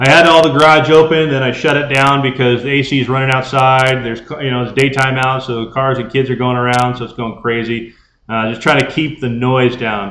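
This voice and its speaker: Loud and bright with a sharp tone, a man talks at a fairly quick pace with fairly even intonation and hardly any pauses. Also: medium pitch for a man. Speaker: ham radio youtuber. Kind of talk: live stream chat. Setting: garage.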